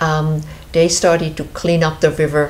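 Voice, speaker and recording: A fairly quick delivery in a Swiss accent, with audible room echo. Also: woman. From Switzerland. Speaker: show host, founder of river conservation group. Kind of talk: casual interview chat. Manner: halting, many fillers.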